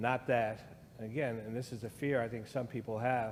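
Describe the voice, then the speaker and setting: With an American accent, a man speaks at a moderate pace and medium pitch with fairly even intonation, with audible room echo. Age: 60s. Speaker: guest speaker on race. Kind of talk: conversation in church service.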